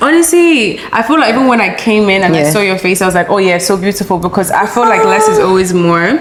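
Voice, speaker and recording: Talking at a very fast pace with hardly any pauses, a woman uses lively intonation at medium pitch and very even loudness, with noticeable background noise behind her. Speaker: guest. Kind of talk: casual chat.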